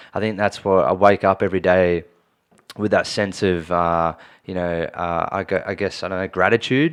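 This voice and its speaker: This man has a very deep, low voice and a strong Australian accent. He keeps a moderate pace and fairly even intonation over a quiet background. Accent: broad Australian. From Australia, Sydney eastern suburbs. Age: 30s. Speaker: online fitness coach. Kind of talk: casual interview chat. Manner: halting, many fillers and restarts.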